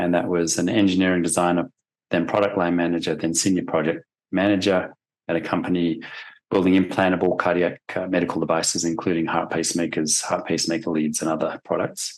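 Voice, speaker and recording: Very fast, monotone speech from a man with a slight Australian accent, very deep and low in pitch, with flat intonation and very even loudness. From Australia, Sydney. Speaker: forensic expert witness. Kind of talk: deposition testimony. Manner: hesitant, many fillers.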